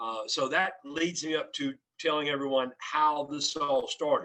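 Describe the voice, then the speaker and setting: Here a man speaks with a Cajun accent. His tone is bright and sharp, and his pitch fairly high. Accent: Cajun Louisiana English. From South Louisiana, Cajun (Barataria). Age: 60s. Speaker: restaurant founder. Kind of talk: podcast interview.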